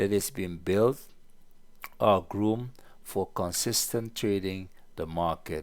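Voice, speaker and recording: A man speaks with a non-native accent at a fairly low pitch with ordinary pitch variation. The recording is very clean, with a silent background. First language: not English. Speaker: trading educator. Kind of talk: market analysis tutorial. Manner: halting.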